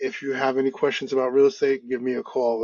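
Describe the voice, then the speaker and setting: The speaker has a New York accent. The pace is fairly quick. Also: man. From US Northeast, Brooklyn, New York. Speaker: podcast host and real estate agent. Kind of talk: interview. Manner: fast.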